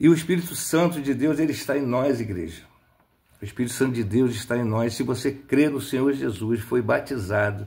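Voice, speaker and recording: A man talks at a moderate pace in a medium-pitched, somewhat breathy voice. His pitch varies in an ordinary way. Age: 60s. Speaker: lay preacher. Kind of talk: sermon. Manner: animated.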